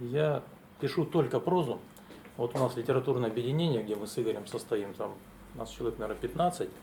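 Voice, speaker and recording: A man talks at a very fast pace yet leaves long, frequent pauses. His medium-pitched voice is dark, mellow and somewhat breathy, with ordinary pitch variation. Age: 60s. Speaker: prose writer, engineer. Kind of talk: talk at literary event. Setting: library event with audience.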